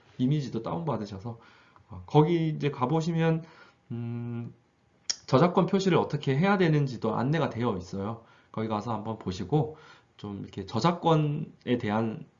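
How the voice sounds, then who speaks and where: This man's voice sits at medium pitch and is somewhat breathy. His loudness swings widely. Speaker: high school teacher. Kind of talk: tutorial. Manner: fast.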